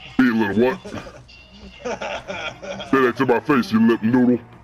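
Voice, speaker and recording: A man puts on a character voice at a medium pitch. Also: fairly slow pace. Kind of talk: game stream role play. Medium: role play. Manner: gruff, taunting.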